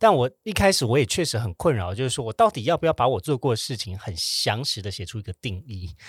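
Very fast, somewhat breathy speech with hardly any pauses swings very widely in pitch. It is dry and close with no echo, on a very clean recording with a silent background. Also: man, medium pitch for a man. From Taiwan. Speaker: podcast host. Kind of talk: casual chat. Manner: animated.

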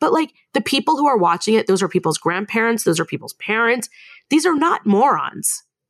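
In an American accent, a woman talks at a fairly quick pace and a fairly high pitch, with very wide pitch swings. Her loudness stays very even, and the sound is dry and close with no echo. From Long Beach, California. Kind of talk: casual chat.

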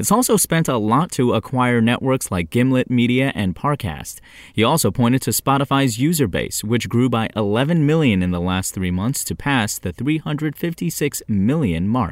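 On a very clean recording with a silent background, a man in an ordinary speaking voice talks fairly slowly at a medium pitch, with lively intonation and hardly any pauses. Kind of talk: news bulletin read aloud, brisk daily tech headlines. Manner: crisp, even and businesslike, newsreader delivery.

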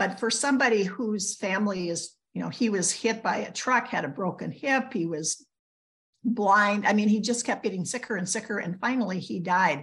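Against a quiet background, a woman with a normal speaking voice and medium pitch talks at a moderate pace with ordinary pitch variation. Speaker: podcast co-host, mother. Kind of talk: casual interview chat.

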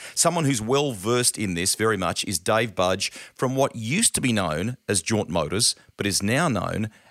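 Against a silent background in a very clean recording, a man speaks at a medium pitch with lively intonation, the sound dry and close with no echo. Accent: Australian. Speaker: podcast host. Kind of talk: casual chat; scripted narration.

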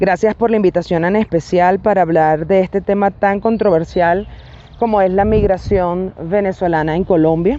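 Noticeable background noise accompanies a woman whose intonation stays fairly even. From Venezuela. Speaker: migration expert guest. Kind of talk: interview.

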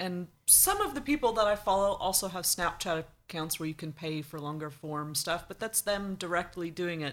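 With a plain, everyday voice, a woman talks at a moderate pace with hardly any pauses, a fairly low pitch and ordinary pitch variation. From United States. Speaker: blogger. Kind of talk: casual chat. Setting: studio.

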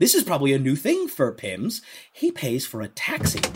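This man's pitch swings very widely as he talks at a moderate pace. Noticeable background noise runs underneath. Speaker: dungeon master. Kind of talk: tabletop roleplay narration. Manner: animated.

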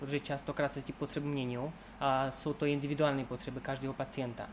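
The delivery is monotone, with flat intonation. The pace is very fast. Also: man. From Moldova. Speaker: nursing student. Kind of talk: interview. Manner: clear, precise pronunciation.

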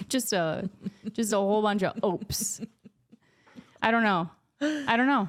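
Fairly high in pitch, a woman speaks at a fairly slow pace with long, frequent pauses and ordinary pitch variation. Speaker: podcast host. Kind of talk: casual chat. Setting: studio.

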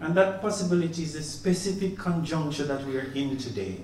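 There is noticeable background noise and audible room echo. A man speaks at a moderate pace with lively intonation. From Caribbean, Jamaica. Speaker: professor. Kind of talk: opening speech. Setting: exhibition opening. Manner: formal.

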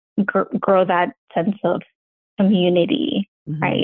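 A woman's fairly slow speech in a Mexican accent. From Mexico, Ciudad Juarez. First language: Spanish. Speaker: engineering manager. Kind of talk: interview.

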